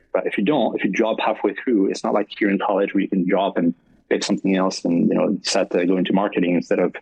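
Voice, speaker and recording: A man talks at a very fast pace with very even loudness. Noticeable background noise sits behind him. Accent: French. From France, French Alps near Swiss border. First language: French. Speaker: esports partnership manager. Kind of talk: podcast interview. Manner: many fillers and restarts.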